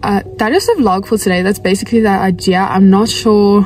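A woman speaks with fairly even intonation. The sound is dry with no echo, and faint music plays in the background. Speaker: equestrian vlogger. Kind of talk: casual vlog chat. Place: car. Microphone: phone near.

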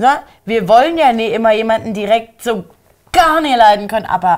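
Animated in tone, a woman speaks at a fairly high pitch and a moderate pace with lively intonation. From Germany. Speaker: YouTube reality TV commentator. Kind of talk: casual chat. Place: studio.

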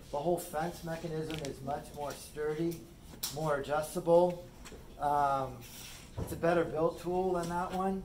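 Speaking at a fairly slow pace with long, frequent pauses, a man uses a high pitch and monotone, flat intonation against light background noise. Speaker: shop teacher. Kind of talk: classroom demonstration. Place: workshop. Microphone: phone near.

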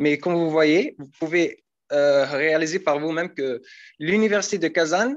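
A man speaks, his pitch varying in an ordinary way. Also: quiet background. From Algeria. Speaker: international student; student guide. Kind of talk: casual presentation. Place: hall. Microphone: video call.

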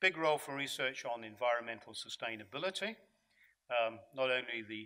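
At a fairly quick pace, a man with a medium pitch speaks in a bright, sharp tone with lively intonation.

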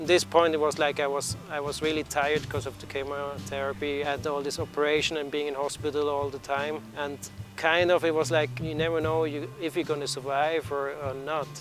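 Faint music sits behind a man who talks at a fairly quick pace with hardly any pauses and fairly even intonation, in a dry sound with no echo. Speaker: interviewee. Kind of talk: interview answer. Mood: reflective, calm. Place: open country.

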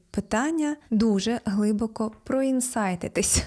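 Captured on a very clean recording with a silent background, the voice is somewhat breathy with a dark, mellow tone. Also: woman. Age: 30s. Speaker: self-development blogger. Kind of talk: vlog monologue.

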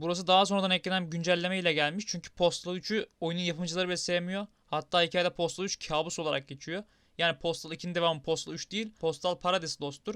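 Against a quiet background, a man rushes along at a very fast pace with hardly any pauses, his high pitch and bright, sharp tone monotone and flat in intonation, the sound dry and close with no echo. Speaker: gaming YouTuber. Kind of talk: game narration voiceover. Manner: improvised, conversational.

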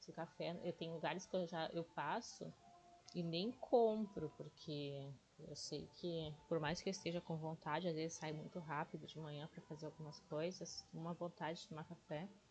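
Music plays in the background as a woman talks at a moderate pace. Her pitch is fairly low, and her intonation fairly even. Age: 40s. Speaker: day trading YouTuber. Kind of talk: casual tutorial livestream.

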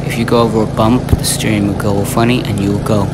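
A man talks fairly quickly while loud background noise plays around him. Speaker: owner reviewing mower. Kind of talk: casual review commentary. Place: farm machine. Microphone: phone near.

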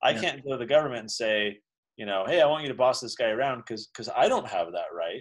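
Over a quiet background, a man talks very fast at medium pitch with lively intonation and big swings in loudness. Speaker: founder of a libertarian education institute and children's book author; interview guest. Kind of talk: casual interview chat. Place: office. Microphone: video call.

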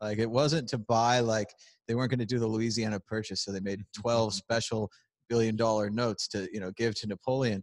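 Recorded against a quiet background, a man talks at a very fast pace. The sound is dry with no echo. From United States. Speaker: crypto video host. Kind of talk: casual chat. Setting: conference venue, on camera. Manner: animated, joking. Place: hall.

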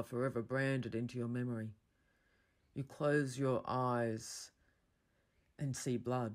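A speaker in an Australian accent is captured on a very clean recording with a silent background.

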